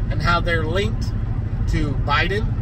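Over loud background noise, a man speaks at a moderate pace. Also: dry sound with no echo. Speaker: vlogger. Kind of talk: casual rant vlog. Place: car. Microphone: phone near.

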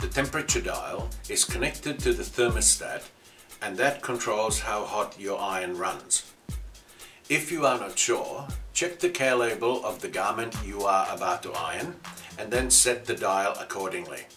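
A man's speech holds a moderate pace, with faint music in the background. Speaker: ironing service instructor. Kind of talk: tutorial. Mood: cheerful, lightly joking. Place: workshop.

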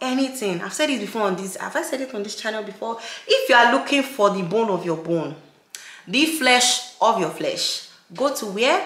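A woman speaks at a moderate pace in a raised, projected voice, with audible room echo. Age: 20s. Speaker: lifestyle YouTuber. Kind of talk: vlog narration. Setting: shopping in stores. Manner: casual, chatty. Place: home room.

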